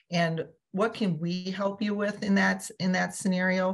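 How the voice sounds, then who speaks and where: A somewhat breathy woman at a fairly slow pace against a quiet background. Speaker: webinar host. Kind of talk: webinar host introduction. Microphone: video call.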